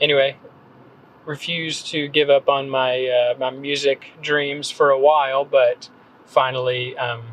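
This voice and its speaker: Over noticeable background noise, a man with an American accent talks at a fairly slow pace in a fairly high, monotone, flat voice. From North Carolina, Gaston County small town. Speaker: copywriter and blogger. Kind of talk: podcast interview. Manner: casual, many fillers.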